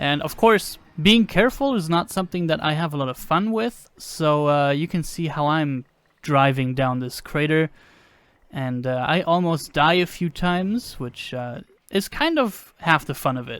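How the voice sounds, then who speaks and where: Lively in intonation, a man with a fairly high pitch speaks at a moderate pace. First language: not English. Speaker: gaming video creator. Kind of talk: gameplay commentary. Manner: casual, with hesitations.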